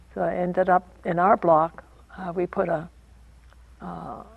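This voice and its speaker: A woman talks in an American accent. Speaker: former internment camp prisoner. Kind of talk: interview answer.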